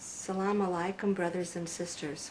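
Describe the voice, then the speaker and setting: A woman speaks at a fairly slow pace in a fairly low voice over noticeable background noise. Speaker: religious convert telling her story. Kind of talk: testimony. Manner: halting, with many fillers.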